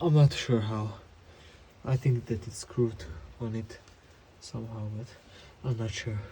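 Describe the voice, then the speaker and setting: A somewhat breathy man at a fairly slow pace, with a non-native accent. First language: not English. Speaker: mechanic doing a repair tutorial. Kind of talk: tutorial. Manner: halting, with many fillers.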